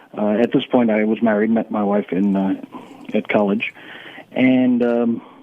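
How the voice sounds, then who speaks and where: Speaking at a moderate pace with an American accent, this voice stays monotone and flat, broken by long, frequent pauses over noticeable background noise. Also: man, medium pitch for a man. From New York City (Bronx), then South Florida. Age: 70s. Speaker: senior athlete. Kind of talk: radio interview.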